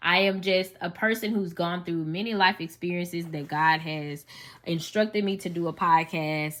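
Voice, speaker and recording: A woman with a Southern US accent speaks at a moderate pace. Her tone is bright and sharp, in a very clean recording with a silent background. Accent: Southern US, country. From US South, Memphis, Tennessee. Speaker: podcast host and teacher. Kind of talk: personal testimony podcast monologue. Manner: casual, conversational.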